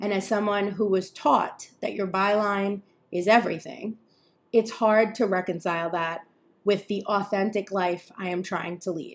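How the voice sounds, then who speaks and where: In a New York accent, a woman speaks at a medium pitch. Her pace is moderate and her intonation fairly even. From New York area. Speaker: podcast host, journalist and content creator. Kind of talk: scripted-style solo podcast intro.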